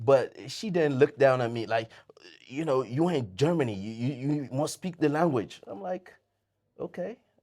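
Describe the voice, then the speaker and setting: A man with a fairly high pitch and a dark, mellow tone talks at a moderate pace, with lively intonation and big swings in loudness. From Sierra Leone. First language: Mende. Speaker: podcast guest, immigrant in Germany. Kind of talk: casual interview chat.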